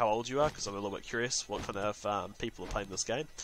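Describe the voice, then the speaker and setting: A man talks at a very fast pace. He has a slight New Zealand accent. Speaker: gaming YouTuber. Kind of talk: gameplay commentary. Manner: casual, hesitant with many fillers.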